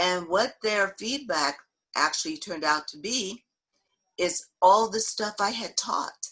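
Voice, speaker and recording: A woman talks with a bright, sharp tone at a medium pitch. Her intonation is lively. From US South, Memphis, Tennessee. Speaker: diversity trainer, educator. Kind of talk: talk with Q and A.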